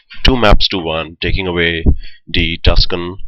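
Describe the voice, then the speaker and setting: A man with an Indian accent, at a fairly slow pace, with ordinary pitch variation. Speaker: esports shoutcaster. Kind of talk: live commentary. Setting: live stream.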